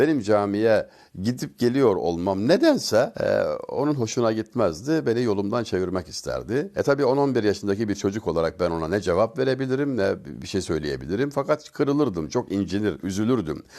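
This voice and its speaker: A man's medium-pitched voice has a dark, mellow tone and lively intonation. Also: moderate pace. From Turkey, Denizli (Çameli). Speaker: religious speaker. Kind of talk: religious talk.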